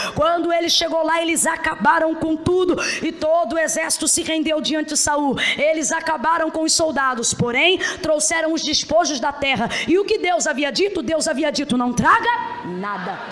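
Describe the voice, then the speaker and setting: An animated tone and lively intonation at a moderate pace, hardly any pauses, with audible room echo and noticeable background noise. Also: woman, extremely high pitch for a woman. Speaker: preacher. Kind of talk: sermon.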